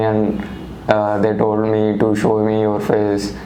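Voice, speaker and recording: Noticeable background noise runs under this recording. A man speaks at a fairly slow pace and a fairly low pitch. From India, Andhra Pradesh. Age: young. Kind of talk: interview answer.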